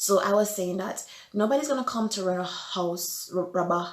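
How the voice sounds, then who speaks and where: A woman's voice over noticeable background noise. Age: 20s. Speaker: vlogger. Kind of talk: storytelling vlog. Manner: loud.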